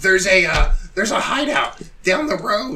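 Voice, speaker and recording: A man puts on a character voice pitched high, speaking at a moderate pace over clearly audible background noise. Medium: actual play. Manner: pleading, stammering.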